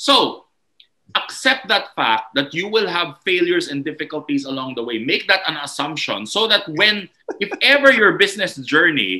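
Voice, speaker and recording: This man's high-pitched voice has a bright, sharp tone and swings very widely in pitch. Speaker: entrepreneur and motivational speaker. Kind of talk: podcast interview. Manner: emphatic.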